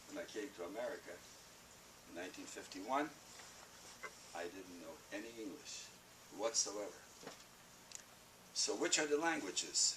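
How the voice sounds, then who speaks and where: Noticeable background noise runs beneath a man speaking at a moderate pace. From Poland. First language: Yiddish. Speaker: Holocaust survivor, speaker. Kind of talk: talk to students. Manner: animated.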